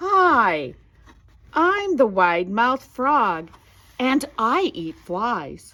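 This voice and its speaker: A woman puts on a character voice, high in pitch with very wide pitch swings. She goes at a very slow pace with long, frequent pauses. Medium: read story.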